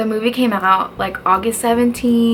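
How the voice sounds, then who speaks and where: Ordinary pitch variation and a moderate pace mark this speech, heard with noticeable background noise. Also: woman. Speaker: book youtuber. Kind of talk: casual video review. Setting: dorm room. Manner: quiet; animated.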